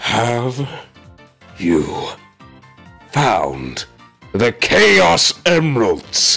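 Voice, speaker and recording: Faint music plays in the background as a man delivers a cartoonish character voice at a medium pitch and a very slow pace. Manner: sly, scheming.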